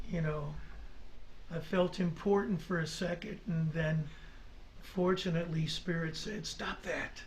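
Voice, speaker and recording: In a room with audible echo, the speaker uses a monotone, flat intonation at a fairly slow pace with long, frequent pauses. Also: man, high pitch for a man. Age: 60s. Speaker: folk singer-songwriter. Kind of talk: radio interview. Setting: studio. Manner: halting.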